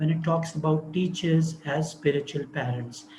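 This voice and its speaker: A soft-spoken man talks at a high pitch. He keeps a moderate pace. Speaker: speaker on education and Islamic spirituality. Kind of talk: online talk. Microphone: too quiet.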